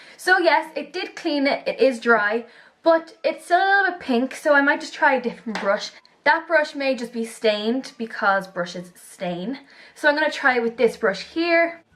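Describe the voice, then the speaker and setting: With an enthusiastic tone, a woman speaks at a moderate pace in a high pitch, her voice making very wide pitch swings. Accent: Irish. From Ireland. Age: young. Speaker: beauty vlogger. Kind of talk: casual product review to camera. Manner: chatty, enthusiastic.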